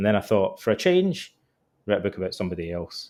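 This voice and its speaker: A man speaks with a Scottish accent in a very clean recording with a silent background. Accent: Scottish, noticeable. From Scotland. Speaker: author and psychotherapist. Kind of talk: interview.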